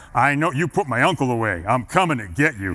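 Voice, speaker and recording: A man speaks in a put-on character voice at a medium pitch. He talks at a very fast pace. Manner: over the top, menacing.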